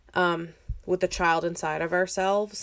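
A woman talks at a fairly slow pace in a fairly low, monotone voice with flat intonation. Her recording is very clean, with a silent background. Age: 30s. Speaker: podcast host. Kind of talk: casual chat. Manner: casual, filler-heavy.

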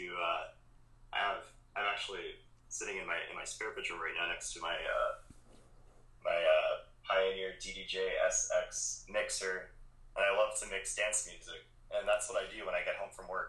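This man speaks in a Hawaiian accent at a moderate pace. His speech has long, frequent pauses. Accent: Hawaiian local English. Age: 20s. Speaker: coffee shop manager and barista. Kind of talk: casual interview chat.

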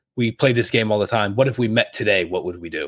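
In a plain, everyday voice, a man talks at a fairly low pitch with ordinary pitch variation, and the recording is very clean with a silent background. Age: 20s. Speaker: podcast co-host, married couple. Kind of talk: casual chat.

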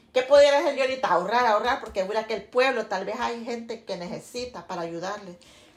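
A woman talks very fast with hardly any pauses, her fairly high voice showing ordinary pitch variation over noticeable background noise. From Honduras, Santa Bárbara. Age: 50s. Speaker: interviewee, mother. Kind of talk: casual family interview.

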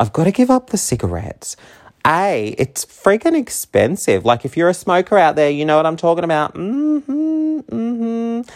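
A man talks at a moderate pace with very wide pitch swings. The sound is dry and close, with no echo. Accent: Australian. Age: 30s. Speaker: podcast host. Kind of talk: casual monologue. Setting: home.

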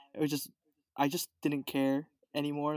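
With an American accent, a normal speaking voice moves at a moderate pace in a dry, close sound with no echo. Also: man. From Los Angeles, California. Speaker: guest. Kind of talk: casual chat. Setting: video call.

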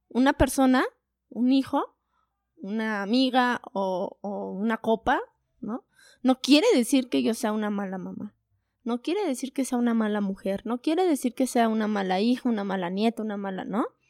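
On a very clean recording with a silent background, a woman speaks at a fairly high pitch and a moderate pace. Her pitch varies in an ordinary way, and the sound is dry and close with no echo. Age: 20s. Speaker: psychologist and online entrepreneur, mother. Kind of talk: casual interview chat.

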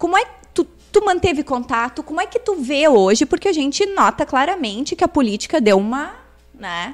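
Very wide pitch swings run through speech delivered at a moderate pace. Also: woman, high pitch for a woman. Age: 40s. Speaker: podcast host. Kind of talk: interview. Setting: live-streamed podcast in coworking space.

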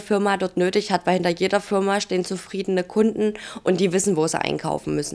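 Speaking at a fairly quick pace, a woman holds a medium pitch in a monotone, flat delivery. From Saxony, Germany (Dresden). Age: 20s. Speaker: social media influencer and geriatric nurse. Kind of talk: casual chat.

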